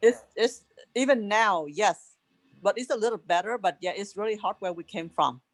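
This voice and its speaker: A woman with a Vietnamese accent speaks at a medium pitch with ordinary pitch variation. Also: moderate pace, big swings in loudness, dry, close sound with no echo. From Vietnam, rural village. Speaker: refugee, interviewee's mother. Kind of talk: casual family interview. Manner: animated, outspoken.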